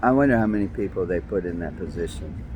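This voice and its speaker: Talking at a fairly quick pace, a man with a New York accent shows vocal fry. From New York City (Brooklyn). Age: 60s. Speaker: vlogger. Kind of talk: personal monologue.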